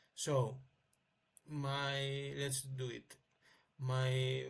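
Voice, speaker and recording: The man's voice sits fairly high. It is somewhat breathy. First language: not English. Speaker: amateur inventor. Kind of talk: tutorial. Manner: halting, many fillers.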